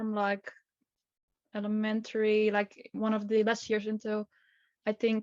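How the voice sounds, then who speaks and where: A woman with a Dutch accent, fairly high-pitched, at a fairly slow pace, in a dry, close sound with no echo. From Netherlands. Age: 20s. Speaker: journalism student and activist. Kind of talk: podcast interview. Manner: halting, many fillers.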